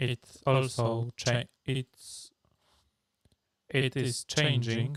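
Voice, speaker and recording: A man speaks very slowly at medium pitch in a monotone with flat intonation. The sound is dry and close, with no echo. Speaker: streamer. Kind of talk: live stream tutorial. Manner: halting, many fillers.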